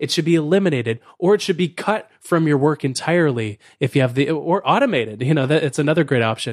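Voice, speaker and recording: A man with an ordinary speaking voice and a fairly high pitch uses lively intonation over a quiet background. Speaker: author and productivity speaker. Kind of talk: casual interview.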